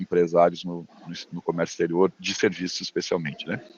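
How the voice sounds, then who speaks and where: Against noticeable background noise, a man talks with a very deep, low pitch. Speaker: business consultant lecturer. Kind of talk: lecture over video call. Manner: fast.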